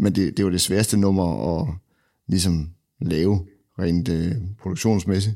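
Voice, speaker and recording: A man's very deep, low, dark and mellow voice at a fairly slow pace, with long, frequent pauses, in a very clean recording with a silent background. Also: ordinary pitch variation. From Denmark, Randers (East Jutland). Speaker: guitarist and music producer. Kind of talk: casual interview. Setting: studio.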